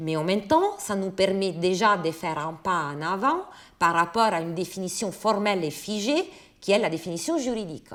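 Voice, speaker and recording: A woman at medium pitch with an Italian accent, ordinary pitch variation and a moderate pace, on a very clean recording with a silent background. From Italy. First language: Italian (speaking French). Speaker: philosopher. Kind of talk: lecture.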